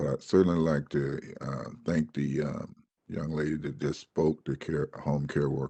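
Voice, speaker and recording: Speaking in a very deep, low pitch with vocal fry, a man with an American accent delivers his words at a fairly slow pace in monotone, flat intonation. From Georgia, US South. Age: 60s. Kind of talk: testimony. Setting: Senate committee hearing. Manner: halting, many fillers and repeats.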